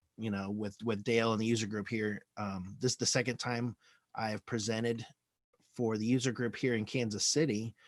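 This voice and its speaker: A medium-pitched man at a moderate pace. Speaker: Salesforce admin presenter. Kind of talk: presentation. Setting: video call. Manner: halting.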